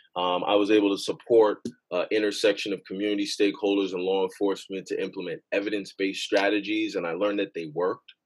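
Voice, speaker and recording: A man talks very fast with a New York accent. His pitch is fairly low and his intonation monotone and flat. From Queens, New York, Jamaican immigrant parents. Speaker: gun violence policy director. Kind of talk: podcast interview.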